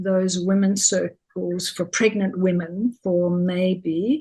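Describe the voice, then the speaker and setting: A woman speaks at a very slow pace in a dark, mellow, somewhat breathy tone. Her loudness is very even and her intonation fairly even. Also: hardly any pauses. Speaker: childbirth educator. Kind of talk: interview answer.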